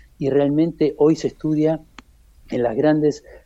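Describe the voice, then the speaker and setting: A man's fairly high voice, dark and mellow in tone, at a moderate pace. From Argentina. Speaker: war veteran. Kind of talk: interview.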